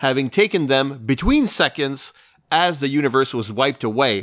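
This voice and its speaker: Spoken at a moderate pace with ordinary pitch variation, this is a plain, everyday voice. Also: man. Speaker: podcast host. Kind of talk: casual chat.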